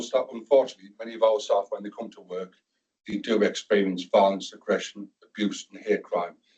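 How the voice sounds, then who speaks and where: A man is speaking. He has a northern English accent. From northern England. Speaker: NHS security and violence reduction lead. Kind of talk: presentation to a board meeting.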